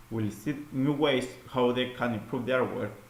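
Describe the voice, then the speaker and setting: A man with a non-native accent, at a moderate pace, in audible room echo. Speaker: student presenting an assignment. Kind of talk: recorded class presentation. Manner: halting, with fillers and repeats.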